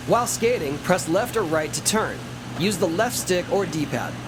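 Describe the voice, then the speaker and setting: A man talks in an upbeat tone with a high pitch. Noticeable background noise sits behind him. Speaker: professional skateboarder. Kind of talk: video game tutorial narration. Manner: upbeat, encouraging.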